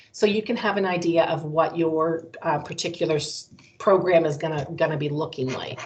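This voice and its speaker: Against noticeable background noise, a woman speaks in a fairly low voice with ordinary pitch variation. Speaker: college recruiter. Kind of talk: presentation. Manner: fast.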